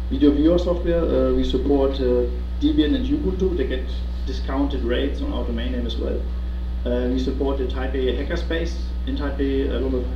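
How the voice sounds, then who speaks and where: Noticeable background noise surrounds a man with a very deep, low pitch. He talks at a fairly quick pace with monotone, flat intonation. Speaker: presenter. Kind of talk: presentation talk. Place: meeting room. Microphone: camera far.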